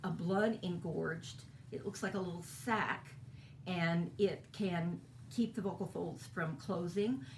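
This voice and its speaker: A woman speaks at a fairly slow pace in a fairly low, somewhat breathy voice. Audible room echo is present. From Kentucky. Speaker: voice teacher. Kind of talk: lecture.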